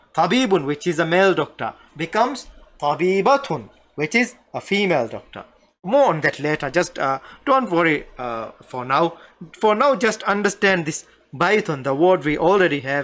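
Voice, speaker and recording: Speaking at a moderate pace in a Maldivian accent, a man with a high voice makes very wide pitch swings. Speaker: Arabic language teacher. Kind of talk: lecture. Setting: live online stream. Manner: halting.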